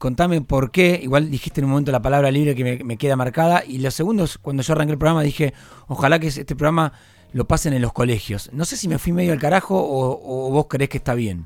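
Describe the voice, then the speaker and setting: A man with a fairly high pitch talks at a very fast pace, using ordinary pitch variation. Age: 30s. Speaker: radio host. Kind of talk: interview. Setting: studio.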